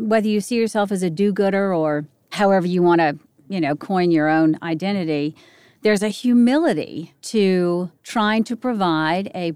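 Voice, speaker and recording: A woman's plain, everyday voice, medium in pitch with ordinary pitch variation at a moderate pace, in a very clean recording with a silent background. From US, Northern Virginia (Arlington). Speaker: podcast host. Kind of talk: interview conversation.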